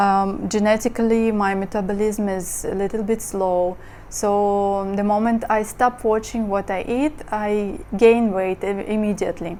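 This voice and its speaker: A woman's medium-pitched voice in a Russian accent, dark and mellow, fairly slow, with fairly even intonation. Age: 30s. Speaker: model and lifestyle vlogger. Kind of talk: casual monologue vlog. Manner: hesitant, many fillers.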